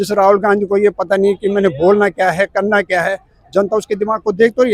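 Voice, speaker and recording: A man is heard in a dry, close sound with no echo. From Uttarakhand, India. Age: 60s. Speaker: retired government clerk. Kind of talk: street interview. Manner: animated.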